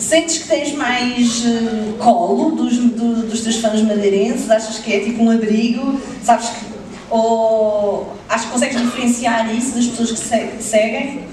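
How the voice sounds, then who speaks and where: Fairly slow speech with audible room echo and light background noise. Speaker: event moderator. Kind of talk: stage presentation. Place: hall. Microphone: pa.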